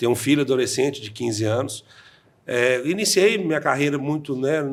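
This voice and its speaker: A man speaks at a moderate pace in a normal speaking voice, his fairly high pitch carried by lively intonation. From Brazil, interior of Minas Gerais. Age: 40s. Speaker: insurance franchise owner. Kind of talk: podcast interview.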